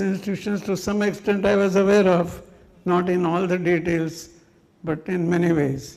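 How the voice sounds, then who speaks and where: Room echo is audible as a man speaks with high pitch. His pace is fairly slow and his intonation fairly even. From India, Mumbai. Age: 80s+. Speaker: speaker at a memorial function. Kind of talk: tribute speech. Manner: halting.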